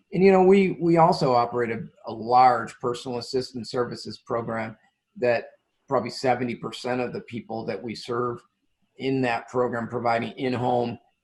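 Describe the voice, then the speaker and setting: A man speaks with a normal speaking voice at a moderate pace. His pitch is medium with ordinary variation. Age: 60s. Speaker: nonprofit CEO. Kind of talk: interview.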